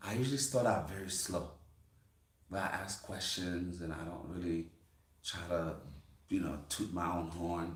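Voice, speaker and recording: In a room with audible echo, a man with a Brooklyn accent and a very deep, low pitch talks at a moderate pace, somewhat breathy, with ordinary pitch variation and long, frequent pauses. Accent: Brooklyn New York. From US, Brooklyn, New York City. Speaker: farmer and channel host. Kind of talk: casual chat.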